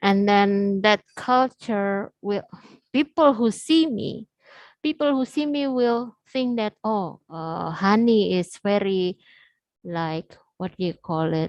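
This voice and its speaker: A woman speaks at a very slow pace with lively intonation, the sound dry and close with no echo against a quiet background. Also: medium pitch for a woman. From Indonesia, West Java (Sundanese). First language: Sundanese/Indonesian. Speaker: psychology lecturer. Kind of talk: lecture. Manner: halting, many fillers.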